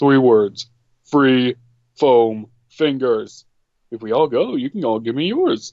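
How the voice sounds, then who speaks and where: Putting on a character voice, a man at medium pitch talks at a fairly slow pace with long, frequent pauses. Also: ordinary pitch variation. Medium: actual play. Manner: blunt, crude.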